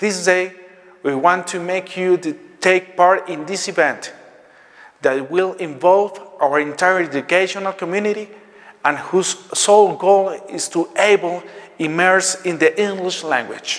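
At a fairly slow pace, a man with a high pitch speaks in fairly even intonation, leaving long, frequent pauses. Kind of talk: welcome speech. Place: hall. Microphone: lapel.

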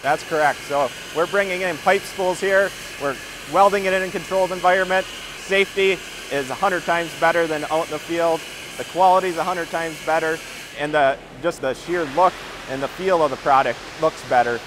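Delivered at a fairly quick pace with fairly even intonation, the voice has a dry sound with no echo over noticeable background noise. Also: man, high pitch for a man. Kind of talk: interview answer. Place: factory.

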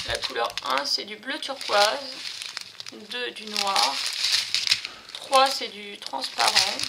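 Very slow speech over loud background noise. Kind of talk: tutorial. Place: home room. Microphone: phone near.

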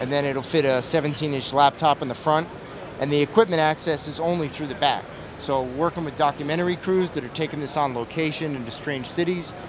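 The voice moves at a fairly quick pace with fairly even intonation, and the sound is dry with no echo but carries noticeable background noise. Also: man. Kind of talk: product demo interview answer. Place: hall. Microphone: handheld.

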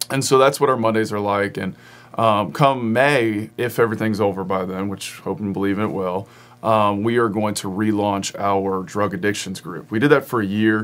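The voice carries an American accent. Its pitch variation is ordinary. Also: man, fairly low pitch for a man, moderate pace. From Front Royal, Virginia; Virginia. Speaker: pastor. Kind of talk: casual interview. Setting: studio. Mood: friendly, relaxed. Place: studio.

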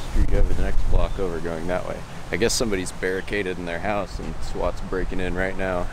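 With noticeable background noise but a dry sound with no echo, a man speaks at a fairly quick pace in fairly even intonation. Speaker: film photography vlogger. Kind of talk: casual vlog chat. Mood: relaxed, amused. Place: street. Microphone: phone near.

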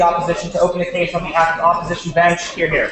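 The speech runs at a very fast pace, with audible room echo and noticeable background noise. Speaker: debate chair. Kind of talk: formal procedural announcement. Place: hall. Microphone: camera far.

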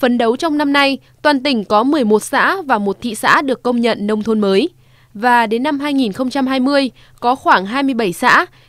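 Her high pitch and lively intonation come through as a woman talks over a quiet background, with a dry sound and no echo. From Vietnam. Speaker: TV program presenter. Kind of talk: news reading. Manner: formal.

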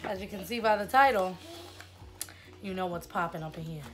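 Faint music runs underneath. Over it, a woman talks. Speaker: vlogger. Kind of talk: casual vlog chat. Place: home room. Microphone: phone near.

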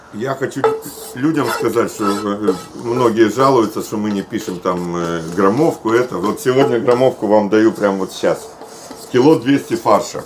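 Through noticeable background noise, a man speaks fairly slowly, with long, frequent pauses. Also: ordinary pitch variation. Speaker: cook showing the recipe. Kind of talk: cooking tutorial. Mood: cheerful, enthusiastic. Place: garden.

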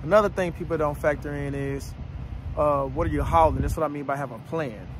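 A man is heard over noticeable background noise, with a dry sound and no echo. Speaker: trucker vlogger. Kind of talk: casual vlog advice. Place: open country. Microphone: phone near.

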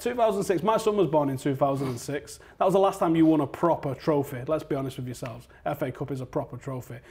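A somewhat breathy man speaks quickly, his fairly high pitch rising and falling in lively intonation. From Manchester, England. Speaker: football fan pundit; football fan channel host. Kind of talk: heated debate. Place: studio.

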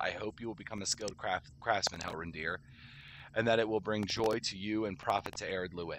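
With an unremarkable speaking voice, a man talks at a fairly quick pace, fairly low in pitch and fairly even in intonation, in a dry sound with no echo and light background noise. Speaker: gamer streamer. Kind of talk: reading game quest text aloud. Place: home room.

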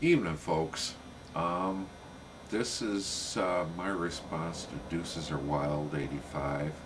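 A man talks at a very slow pace with a very deep, low pitch and fairly even intonation. Background noise is noticeable. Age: 50s. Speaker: video blogger. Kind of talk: personal vlog monologue. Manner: halting. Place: home room. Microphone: webcam.

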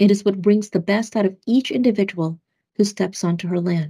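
Against a quiet background, a woman talks at a moderate pace with a somewhat breathy, dark and mellow tone and fairly even intonation. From Philippines, raised in US Midwest. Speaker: government official, Air Force veteran. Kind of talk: scripted video remarks. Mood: earnest, heartfelt. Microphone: webcam.

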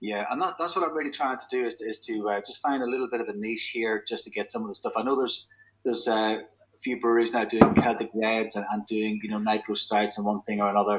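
A man talks at a fast pace in a fairly low pitch with a slightly husky edge. His intonation stays fairly even.

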